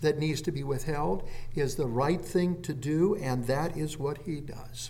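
With audible room echo, a somewhat breathy man speaks at a fairly slow pace and a fairly high pitch. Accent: American. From Phoenix, Arizona. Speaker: pastor. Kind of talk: sermon. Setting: church.

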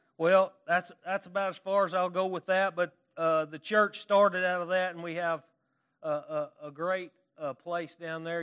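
With an Arkansas accent, a man talks at a moderate pace in a monotone, flat intonation. The sound is dry and close with no echo. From California. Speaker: preacher. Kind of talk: sermon. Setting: church. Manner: halting, self-deprecating, casual.

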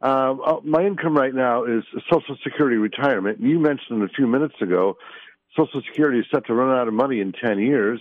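A man with an American accent, medium pitch, ordinary pitch variation and a very fast pace. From US Midwest, Wisconsin. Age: 60s. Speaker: caller, retired veteran. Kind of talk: call-in radio question. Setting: phone call.

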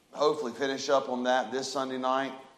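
A man's loud, booming voice at medium pitch comes at a moderate pace, with audible room echo around it.

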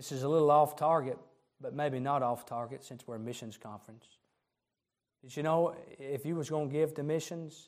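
A man with a fairly high pitch talks in fairly even intonation, with big swings in loudness and long, frequent pauses. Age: 30s. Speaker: preacher. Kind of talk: sermon. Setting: church.

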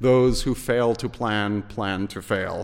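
Putting on a character voice with a German accent, a man speaks at a fairly slow pace and a medium pitch.

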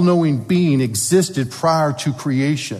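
A man with a Southern US accent speaks in a fairly high voice, somewhat breathy and with lively intonation, while the room echo is audible. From US South. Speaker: paleontologist and creationist speaker. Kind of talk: church talk.

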